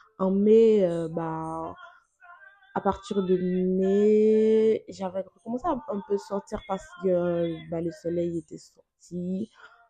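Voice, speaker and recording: Over music in the background, a woman speaks very slowly at a medium pitch with ordinary pitch variation. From Benin. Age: 20s. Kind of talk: testimony.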